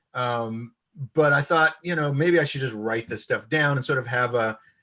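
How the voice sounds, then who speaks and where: With an American accent, a man speaks in a bright, sharp tone with ordinary pitch variation against a quiet background. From US East Coast. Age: 60s. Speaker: violinist and composer. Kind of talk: interview. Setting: live-streamed video chat. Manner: hesitant, many fillers.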